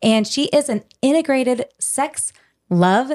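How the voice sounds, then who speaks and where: A woman with an unremarkable speaking voice, lively intonation and an American accent, on a very clean recording with a silent background and a dry, close sound with no echo. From California. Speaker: podcast co-host. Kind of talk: casual interview.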